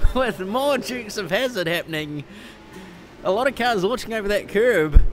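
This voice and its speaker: A man talks at a moderate pace in a New Zealand accent. Noticeable background noise runs underneath. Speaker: sim racing commentator. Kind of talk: live commentary. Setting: simulator store, live stream.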